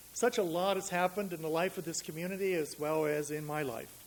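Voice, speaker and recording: A man with a New England accent speaks with lively intonation. His pitch is fairly high. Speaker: minister. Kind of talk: sermon.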